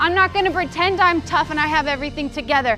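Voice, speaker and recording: A woman's raised, projected voice at an extremely high pitch, with ordinary pitch variation and music in the background. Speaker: motivational speaker; psychologist. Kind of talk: motivational talk to students.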